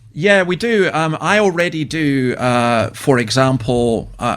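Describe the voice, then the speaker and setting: A man talks with a Scottish accent. The recording is very clean and the background silent. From Scotland. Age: 60s. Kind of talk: radio interview.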